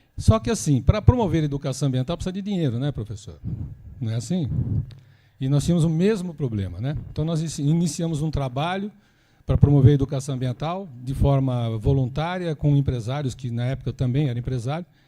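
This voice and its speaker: A man with a fairly high pitch talks at a very fast pace with lively intonation, his tone dark and mellow and somewhat breathy, on a very clean recording with a silent background. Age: 60s. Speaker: environmental institute founder. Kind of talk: lecture. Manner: casual, conversational.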